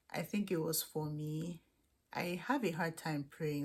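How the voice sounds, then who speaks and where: This woman's pitch is very deep and low, and she has a Nigerian accent. Her intonation stays fairly even. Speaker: international student vlogger. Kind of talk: casual Q&A vlog.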